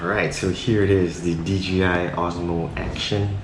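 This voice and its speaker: Against noticeable background noise and audible room echo, a man speaks in a very deep, low voice with monotone, flat intonation. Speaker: tech reviewer, vlogger. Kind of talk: unboxing tutorial. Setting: at home at midnight.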